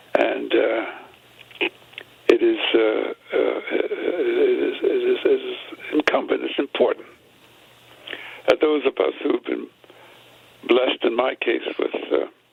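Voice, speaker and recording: Noticeable background noise sits behind a man speaking. He talks very slowly, with long, frequent pauses. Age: 80s+. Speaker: civil rights veteran and author. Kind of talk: radio interview. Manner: halting, many fillers and repetitions.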